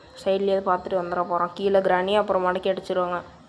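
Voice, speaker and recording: With music in the background, a woman speaks in a medium pitch and a monotone, flat intonation. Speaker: gaming youtuber. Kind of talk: gameplay commentary.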